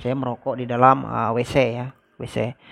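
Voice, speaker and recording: Recorded dry and close with no echo, a man speaks over a quiet background. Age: 30s. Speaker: vlogger. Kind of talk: personal story vlog. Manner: casual, hesitant with fillers.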